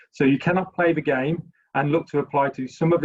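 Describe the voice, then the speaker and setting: A somewhat breathy man with a British accent, fairly even intonation and a fairly quick pace. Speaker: university recruiter. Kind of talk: webinar presentation.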